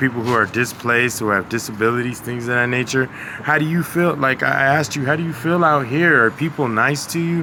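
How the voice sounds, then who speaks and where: Over noticeable background noise, a man speaks fairly quickly at a medium pitch with ordinary pitch variation and hardly any pauses. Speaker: street interviewer. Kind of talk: casual interview questions.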